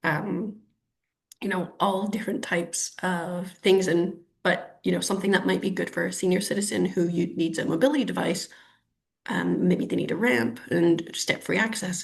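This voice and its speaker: Speaking with a Canadian accent, a woman uses a fairly low pitch, vocal fry, ordinary pitch variation and a moderate pace. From Canada, Ottawa. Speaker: urban planner. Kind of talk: webinar interview. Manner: hesitant, many fillers.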